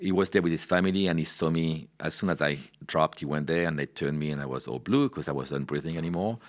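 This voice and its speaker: A man with a French accent talks at a very fast pace. His pitch is very deep and low, with ordinary variation. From France. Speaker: wine director. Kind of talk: interview storytelling. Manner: casual, with many fillers.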